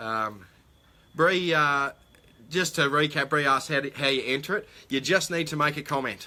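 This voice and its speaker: Bright, sharp tone from a man with an Australian accent, fairly high pitch and long, frequent pauses. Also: ordinary pitch variation, moderate pace. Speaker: metal detecting livestream host. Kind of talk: live stream chat reading viewer comments. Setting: live stream. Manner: hesitant, many fillers.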